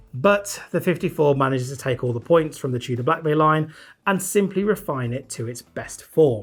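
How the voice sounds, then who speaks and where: A man speaks with a British accent, his voice somewhat breathy. His pace is moderate and his intonation lively. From Britain. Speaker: watch reviewer. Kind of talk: product review. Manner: casual, conversational.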